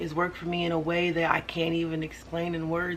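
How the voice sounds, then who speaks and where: Woman's fairly low-pitched voice at a moderate pace, monotone and flat, with noticeable background noise and audible room echo. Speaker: vlogger. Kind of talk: personal vlog monologue. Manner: loud.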